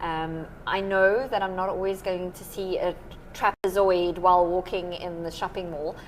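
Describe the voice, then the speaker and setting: Over noticeable background noise, a woman with a South African accent talks at a moderate pace and medium pitch, her loudness swinging widely. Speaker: maths teacher. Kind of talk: podcast interview. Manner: energetic, enthusiastic.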